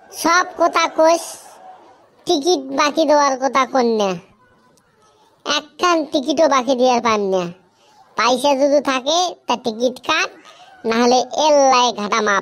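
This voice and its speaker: In a cartoonish character voice, a female-sounding speaker talks at a moderate pace with a high pitch. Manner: grumpy, irritable, complaining.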